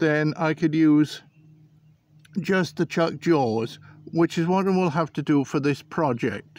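A very slow pace and a dry sound with no echo. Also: man. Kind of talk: tutorial. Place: garden. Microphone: phone near.

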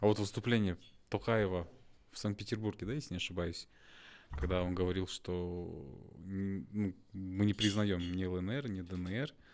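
A man speaks in a very deep, low pitch with fairly even intonation. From Kazakhstan. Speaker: interviewer. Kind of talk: interview. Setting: studio. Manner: halting. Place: studio. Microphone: studio mic.

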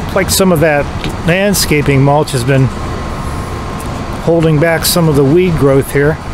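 The pace is fairly slow. The sound is dry with no echo, and the background noise is noticeable. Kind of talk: casual vlog commentary. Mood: nostalgic, mildly annoyed. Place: street. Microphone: phone near.

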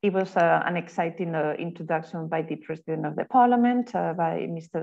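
Against a quiet background, a woman speaks at a fairly quick pace. Her pitch is fairly low, with ordinary pitch variation. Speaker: session moderator. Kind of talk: event moderation introduction. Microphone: video call.

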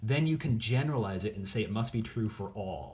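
A man talks with lively intonation. Vocal fry runs through his voice. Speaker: teacher. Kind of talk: lecture. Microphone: phone near.

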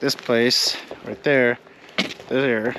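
Noticeable background noise accompanies a man talking at a very slow pace in a dry sound with no echo. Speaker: travel vlogger. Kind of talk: casual vlog chat. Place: street. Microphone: phone near.

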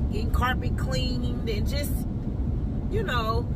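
Loud background noise surrounds a woman speaking. Her pace is fairly slow, and the sound is dry with no echo. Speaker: parent vlogger. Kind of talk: casual vlog chat. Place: car. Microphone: phone near.

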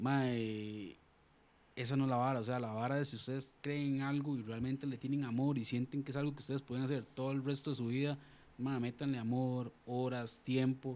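Delivery moves at a moderate speed. The voice has a dark, mellow tone. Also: man. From Costa Rica, Alajuela; Costa Rica. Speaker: sports show presenter; podcast guest. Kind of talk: casual chat; casual interview conversation. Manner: animated. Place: studio. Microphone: studio mic.

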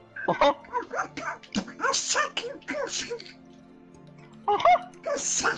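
In a put-on character voice at an extremely high pitch, the speaker goes very slowly with long, frequent pauses. Clear music plays in the background. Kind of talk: crude, profane. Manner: silly, exaggerated.

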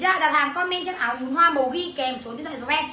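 A woman's raised, projected voice rings with audible room echo. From Vietnam. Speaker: online clothing seller. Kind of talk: livestream sales pitch. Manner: fast; animated. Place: home room. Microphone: phone near.

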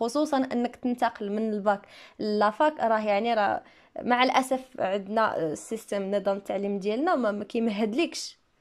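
Very clean recording of a woman against a silent background. She has an unremarkable speaking voice, fairly high pitch and ordinary pitch variation. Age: 20s. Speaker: English teacher and YouTuber. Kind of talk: Q&A video monologue. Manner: casual, conversational.

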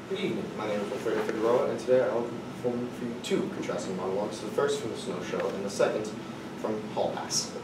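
A man talks at a very fast pace. Loud background noise and audible room echo fill the recording. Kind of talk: dramatic monologue performance. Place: classroom. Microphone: camera far.

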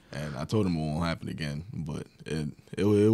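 A man speaks in a New York accent at a very deep, low pitch, with ordinary pitch variation. His tone is dark and mellow, with vocal fry. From Long Island, New York. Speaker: college basketball player; guest. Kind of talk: casual interview. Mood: relaxed, reflective. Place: studio. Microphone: studio mic.

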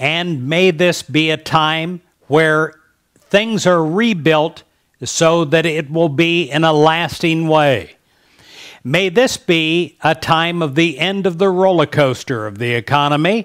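A man with an American accent at a very slow pace, with ordinary pitch variation, against a quiet background. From United States. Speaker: prayer leader. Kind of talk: fervent intercessory prayer, rolling 'May this be' petitions. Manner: earnest, uplifting cadence building through repeated invocations; confident declarative affirmations. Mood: warm, uplifting, smiling. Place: studio. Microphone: headset.

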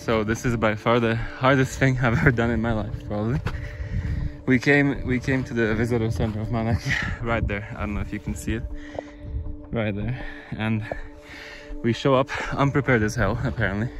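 Over faint background music, a man speaks at a fairly quick pace with fairly even intonation, and the sound is dry with no echo. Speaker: hiker vlogger. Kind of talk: casual vlog chat. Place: open country. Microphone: phone near.

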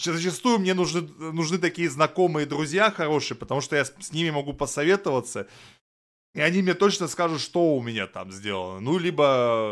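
A man at a moderate pace, with big swings in loudness, over a quiet background. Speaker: streamer. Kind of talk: casual reaction commentary. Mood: relaxed, mildly opinionated.

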